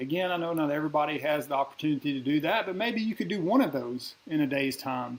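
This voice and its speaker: A man at a fairly high pitch, very fast pace, noticeable background noise. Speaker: leadership coach. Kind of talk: livestream talk. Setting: livestream.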